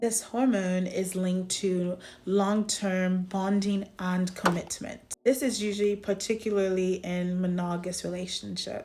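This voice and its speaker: A woman speaks with a dark, mellow tone and a flat, monotone delivery. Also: medium pitch for a woman, fairly slow pace. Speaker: psychology educator and content creator. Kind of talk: educational explainer talking to camera.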